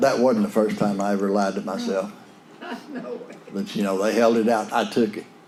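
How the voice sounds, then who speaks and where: Amid noticeable background noise and audible room echo, a man at a fairly low pitch speaks in a monotone, flat intonation with long, frequent pauses. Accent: West Texas. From West Texas / eastern New Mexico. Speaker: AA speaker. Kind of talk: recovery talk testimony. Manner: folksy, conversational.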